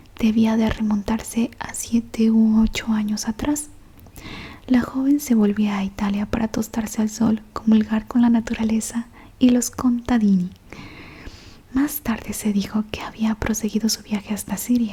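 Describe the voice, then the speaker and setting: At a fairly slow pace, a soft-spoken woman whispers over noticeable background noise. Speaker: ASMR audiobook reader. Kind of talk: whispered audiobook reading of a novel. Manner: whispered, soft, slow.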